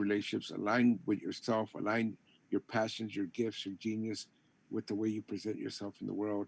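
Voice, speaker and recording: In a very clean recording with a silent background and a dry, close sound with no echo, a man with a plain, everyday voice and a fairly low pitch talks at a fairly quick pace. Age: 60s. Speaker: poet and cultural center founder. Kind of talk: conversation / book talk.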